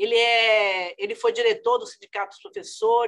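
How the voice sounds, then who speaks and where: A woman speaks at a fairly high pitch. Her voice moves in very wide pitch swings. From Bahia, northeastern Brazil. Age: 70s. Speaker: politician and doctor. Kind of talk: interview. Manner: hesitant, repeating words.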